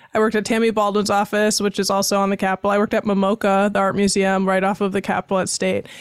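A woman at a medium pitch with an American accent, in a very clean recording with a silent background and a dry, close sound with no echo. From Wisconsin (Baraboo). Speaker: podcast host. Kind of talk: casual interview; scripted show intro and outro. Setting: studio.

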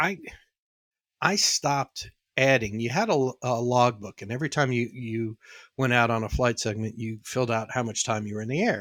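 On a very clean, dry, close recording with a silent background and no echo, a man speaks at medium pitch and a moderate pace with ordinary pitch variation. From New York, the Bronx. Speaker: former airline pilot and auto industry consultant. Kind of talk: casual interview.

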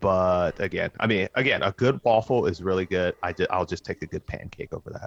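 In a dry, close sound with no echo, a man with a very deep, low pitch speaks with hardly any pauses. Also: ordinary pitch variation, fairly quick pace. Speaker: podcast host. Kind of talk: casual chat.

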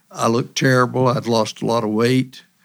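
Speaking at a moderate pace with an East Tennessee accent, a man uses a medium pitch and ordinary pitch variation on a very clean recording with a silent background. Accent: East Tennessee Southern. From East Tennessee, Monroe County. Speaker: state politician. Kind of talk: casual interview.

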